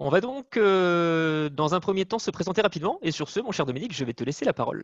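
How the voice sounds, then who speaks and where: Speaking at a fairly quick pace with lively intonation, a man with a northern French accent and a high pitch comes through dry and close with no echo against a quiet background. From northern France. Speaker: management consultant. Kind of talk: webinar presentation. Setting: video call from home.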